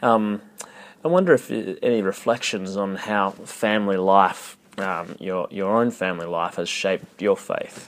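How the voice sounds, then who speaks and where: A man talks in an Australian accent at a fairly slow pace. His pitch is fairly low, with ordinary variation. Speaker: podcast host. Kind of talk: interview. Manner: hesitant, many fillers.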